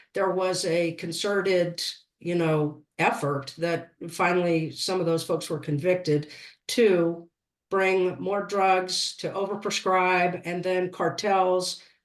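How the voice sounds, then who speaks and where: A woman with an American accent speaking very slowly at a fairly low pitch, with fairly even intonation, against a quiet background. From West Virginia, Appalachia. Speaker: political campaign representative. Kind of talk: panel discussion. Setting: public forum.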